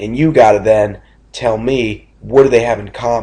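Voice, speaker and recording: A man's dark, mellow, somewhat breathy voice at medium pitch, with fairly even intonation and a moderate pace. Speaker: math teacher. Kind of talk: lecture. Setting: recorded video lesson. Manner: halting.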